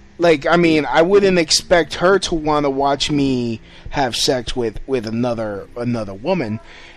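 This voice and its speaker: A man with lively intonation and a fairly high pitch talks fairly slowly while noticeable background noise carries on. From New York City, Puerto Rican family. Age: 30s. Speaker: podcast host and comedian. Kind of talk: casual interview. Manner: halting, repeats words.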